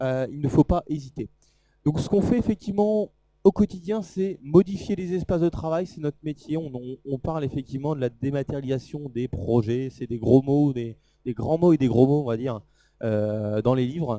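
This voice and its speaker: A man's dark, mellow voice rides a fairly high pitch with lively intonation, recorded dry and close with no echo. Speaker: product presenter at trade show. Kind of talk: live product demo talk. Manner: fast.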